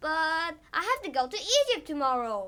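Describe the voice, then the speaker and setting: Pitched extremely high, a woman projects a raised, put-on character voice with very wide pitch swings. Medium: read story.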